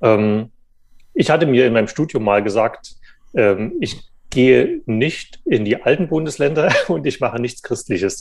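A man speaks at a medium pitch and a fairly slow pace. His intonation is lively. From eastern Germany, Saxony. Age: 30s. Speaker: journalist, magazine editor. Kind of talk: interview. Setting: remote call. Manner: hesitant, many fillers.

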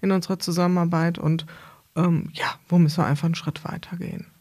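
This woman's pitch is fairly low. There is a somewhat breathy quality to her voice. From Hesse, Germany (Bad Camberg). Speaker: podcast host and consultant. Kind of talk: casual interview conversation. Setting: studio, in person with host.

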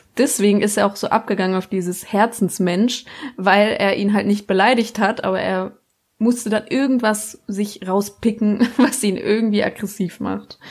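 A woman at medium pitch and moderate pace, with fairly even intonation, on a very clean recording with a silent background. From Baden-Württemberg. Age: 20s. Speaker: podcast guest. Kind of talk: casual chat.

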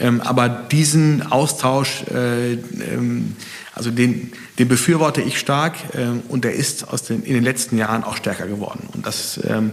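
There is noticeable background noise behind this recording. A man speaks at a medium pitch with ordinary pitch variation. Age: 40s. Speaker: family business owner and managing director. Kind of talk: interview. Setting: in person at his company. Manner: hesitant, many fillers.

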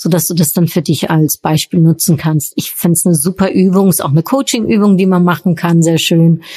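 This woman's medium-pitched voice has a dark, mellow tone and is somewhat breathy. She talks at a fairly quick pace with ordinary pitch variation. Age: 40s. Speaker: podcast host and workshop coach. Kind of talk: solo podcast Q&A monologue. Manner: hesitant, many filler sounds.

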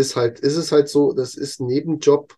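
At a moderate pace, a man speaks at fairly high pitch with a dark, mellow, somewhat breathy tone and fairly even intonation. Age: 40s. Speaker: content creator. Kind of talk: interview.

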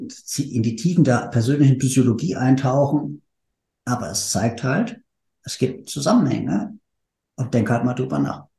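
With vocal fry, a man speaks in a dark, mellow tone. His pace is moderate and his pitch variation ordinary. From Hesse, Frankfurt area. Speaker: marketing manager. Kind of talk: casual chat.

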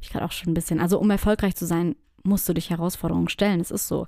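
The tone is dark and mellow. It is a very clean recording with a silent background. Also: woman. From southwestern Germany, near Stuttgart. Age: 30s. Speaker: podcast host, personal branding consultant. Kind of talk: solo podcast monologue. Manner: casual, many filler sounds.

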